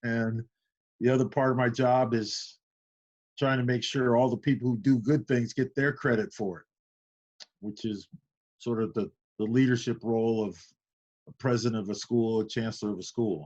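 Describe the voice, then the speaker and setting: A man with a US Midwestern accent speaks at a medium pitch with ordinary pitch variation. He leaves long, frequent pauses. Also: moderate pace. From Iowa, US Midwest. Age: 60s. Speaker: university chancellor. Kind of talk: interview.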